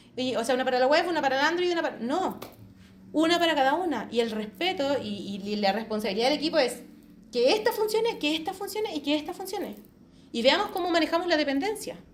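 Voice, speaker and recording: Talking at a very fast pace in an animated tone, a woman uses a high pitch with very wide pitch swings, and audible room echo surrounds her. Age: 40s. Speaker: agile quality assurance speaker. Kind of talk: conference talk. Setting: hybrid meetup presentation.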